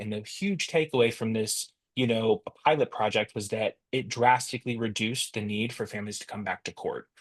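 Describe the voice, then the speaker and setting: Using a normal speaking voice, a man talks at medium pitch with fairly even intonation. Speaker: software company presenter. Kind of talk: professional webinar presentation.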